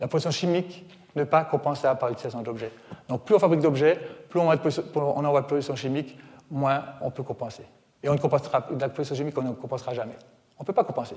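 A man's fairly high, somewhat breathy voice at a very fast pace, with long, frequent pauses. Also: ordinary pitch variation. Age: 40s. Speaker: author and environmental speaker. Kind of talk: public lecture. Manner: animated.

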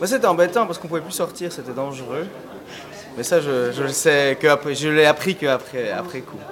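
A fairly high-pitched man's voice with long, frequent pauses, big swings in loudness and noticeable background noise. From Switzerland. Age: 20s. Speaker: student. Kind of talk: interview. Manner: hesitant, many fillers.

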